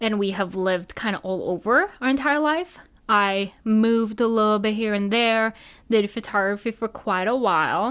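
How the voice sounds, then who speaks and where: A woman with a slight non-native accent speaks at a moderate pace and fairly high pitch on a very clean recording with a silent background. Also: ordinary pitch variation. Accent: slightly non-native English. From Norway. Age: 20s. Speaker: podcast host, wedding photographer. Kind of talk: casual solo podcast chat. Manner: animated.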